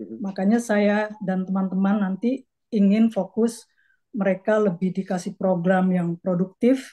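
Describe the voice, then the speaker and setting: In a quiet background, a woman's somewhat breathy voice with a dark, mellow tone moves at a fairly slow pace with fairly even intonation. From Jakarta, Indonesia (Betawi). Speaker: community organization board candidate; candidate. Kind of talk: casual interview. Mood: relaxed, earnest. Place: home room. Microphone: video call.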